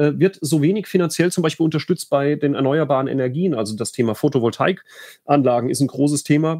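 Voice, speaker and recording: A man talks in a fairly high pitch at a fairly quick pace. His pitch varies in an ordinary way. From Rhineland-Palatinate, Bad Kreuznach district. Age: 30s. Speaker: state politician. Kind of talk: solo livestream talk. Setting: home office. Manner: halting, many fillers.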